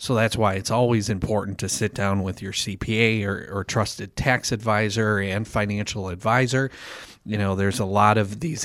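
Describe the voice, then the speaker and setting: Captured on a very clean recording with a silent background, a man with an unremarkable speaking voice speaks at a moderate pace, fairly low in pitch with fairly even intonation. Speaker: financial advisor. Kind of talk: radio show chat.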